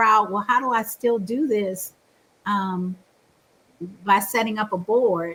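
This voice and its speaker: A woman talks at a fairly slow pace. Her pitch is fairly high, with ordinary pitch variation. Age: 60s. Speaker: Bible college teacher. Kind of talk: interview.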